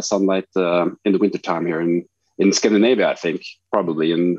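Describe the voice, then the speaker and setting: Here a man talks with a Norwegian accent. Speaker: street photographer. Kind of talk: interview. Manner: halting, many fillers.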